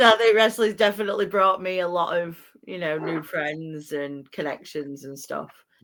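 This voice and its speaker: A woman with a Yorkshire accent, fairly low pitch, ordinary pitch variation, a moderate pace and big swings in loudness. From northern England, Doncaster. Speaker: podcast host. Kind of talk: casual chat.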